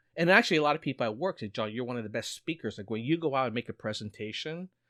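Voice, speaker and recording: In a very clean recording with a silent background, a man's voice sounds dry and close, without any echo. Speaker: podcast host and reaction youtuber. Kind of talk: casual chat. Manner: mild stuttering, repeats words.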